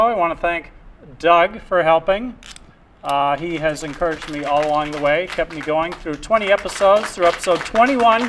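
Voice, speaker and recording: The intonation is lively, heard against noticeable background noise. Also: man. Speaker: community TV host. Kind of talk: casual chat. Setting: studio. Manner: halting.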